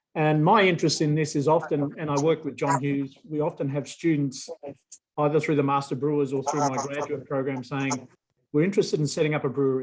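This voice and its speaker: Using an Australian accent, a man with a fairly high pitch speaks at a very fast pace with fairly even intonation. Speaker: professor. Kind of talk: video call introduction.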